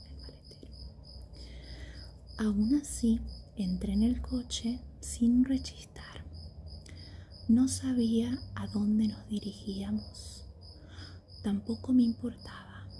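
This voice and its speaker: A soft-spoken woman with a calm, warm tone, talking at a very slow pace with long, frequent pauses. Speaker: ASMR reader. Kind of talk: sleep story audiobook reading. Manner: soft-spoken, calm, warm.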